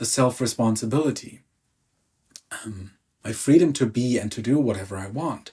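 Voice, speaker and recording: In a German accent, a man speaks fairly slowly with a dark, mellow, somewhat breathy tone. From Germany. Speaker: emotional release coach. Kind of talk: self-help talk.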